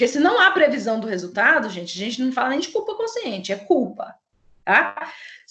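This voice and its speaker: A woman's voice, high in pitch. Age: 30s. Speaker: law professor. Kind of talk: lecture.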